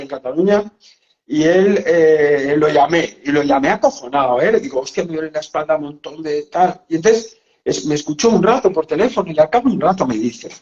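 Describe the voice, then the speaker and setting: A man's intonation is lively. He keeps up a fairly quick pace. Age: 60s. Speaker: psychologist and author. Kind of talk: casual interview chat. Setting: live video call. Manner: animated.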